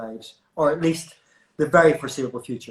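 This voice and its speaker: A man's fairly high, somewhat breathy voice moves with ordinary pitch variation. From Belfast, Northern Ireland. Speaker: hairdresser and interview host. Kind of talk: casual interview chat. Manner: hesitant, repeats words.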